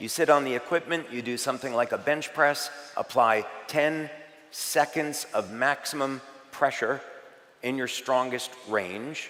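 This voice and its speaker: This man has an ordinary speaking voice, talking at a moderate pace with ordinary pitch variation. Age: 60s. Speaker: health and product presenter. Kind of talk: presentation to live audience.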